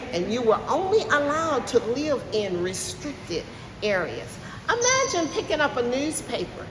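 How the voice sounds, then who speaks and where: An animated woman with a high pitch speaks amid audible room echo and noticeable background noise. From US South, eastern North Carolina (Mount Olive). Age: 70s. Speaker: museum tour guide. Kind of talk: testimony.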